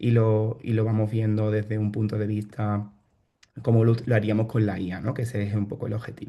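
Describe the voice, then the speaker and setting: Somewhat breathy male voice, dark and mellow in tone. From Spain, Seville (Andalusia). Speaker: bioinformatician and startup founder. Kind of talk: online workshop presentation. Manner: hesitant, many fillers and repetitions.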